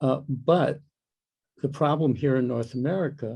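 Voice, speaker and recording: A man speaks at a fairly slow pace with fairly even intonation. His medium-pitched voice is somewhat breathy, with a dark, mellow tone. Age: 80s+. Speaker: soundscape ecologist. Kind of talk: Q&A interview. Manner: halting.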